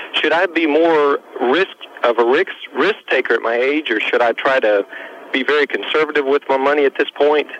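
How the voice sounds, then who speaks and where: A man is recorded with a dry, close sound with no echo, though noticeable background noise comes through. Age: 20s. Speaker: caller. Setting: phone call.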